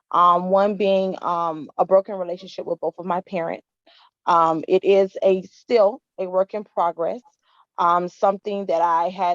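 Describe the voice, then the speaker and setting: In a plain, everyday voice, a woman with an American accent talks at a medium pitch and fairly slow pace with fairly even intonation, the sound dry and close with no echo. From Miami, Florida. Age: 30s. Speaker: women's empowerment founder. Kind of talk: testimony.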